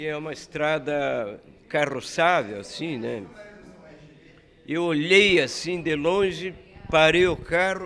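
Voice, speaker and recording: A man's fairly high voice with ordinary pitch variation, a very slow pace and long, frequent pauses. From southern Brazil, Paraná. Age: 80s+. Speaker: bar owner and former politician. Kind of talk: casual interview chat.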